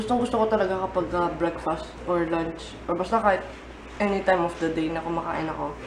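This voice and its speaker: A woman speaks at a moderate pace in a fairly low pitch. Her voice carries audible room echo over noticeable background noise. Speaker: vlogger. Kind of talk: casual vlog. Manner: casual, chatty.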